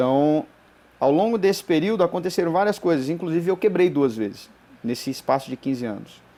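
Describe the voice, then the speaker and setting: Lively intonation marks this man's fairly quick speech, which has a fairly high pitch and a dark, mellow tone. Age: 40s. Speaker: business trainer and coach. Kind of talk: interview conversation. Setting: studio.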